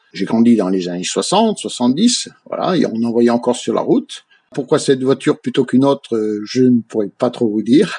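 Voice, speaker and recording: At a fairly quick pace, a man with a medium pitch and ordinary pitch variation is heard in a dry, close recording with no echo. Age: 60s. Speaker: classic car club founder. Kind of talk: radio interview. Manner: halting, many hesitations.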